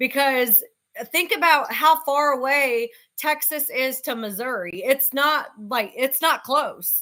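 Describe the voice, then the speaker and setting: A woman uses a raised, projected voice, high-pitched with a bright, sharp tone and lively intonation. She speaks at a very slow pace on a very clean recording with a silent background. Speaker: co-commentator. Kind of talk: casual chat. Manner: loud.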